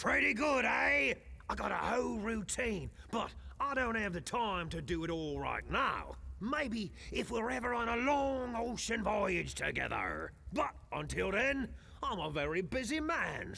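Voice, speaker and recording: Over clear background noise, a man does a high-pitched put-on character voice at a moderate pace. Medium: video game. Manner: gruff, hearty laughter.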